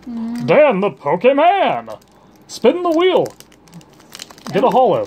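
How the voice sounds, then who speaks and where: A put-on character voice sits at a fairly high pitch. It moves at a fairly slow pace with long, frequent pauses. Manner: exaggerated, hyped, announcer-like.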